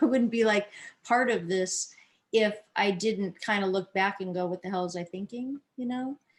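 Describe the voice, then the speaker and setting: The speaker is a woman. Her pitch moves in a typical way. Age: 60s. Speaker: musician. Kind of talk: casual chat. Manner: halting.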